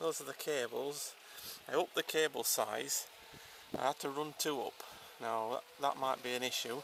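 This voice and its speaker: A man with an English accent speaks at a moderate pace and fairly even intonation. The sound is dry with no echo, and background noise is noticeable. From Yorkshire, England; England. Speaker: smallholder showing his wind turbine. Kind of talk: casual video walkthrough. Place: open country. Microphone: phone near.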